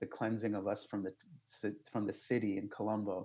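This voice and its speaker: A man's fairly low, dark, mellow voice with monotone, flat intonation. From Sri Lanka. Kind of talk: interview storytelling.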